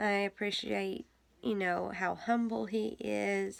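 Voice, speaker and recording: A woman speaks. Her voice is quiet. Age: 30s. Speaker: vlogger. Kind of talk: casual chat. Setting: home basement.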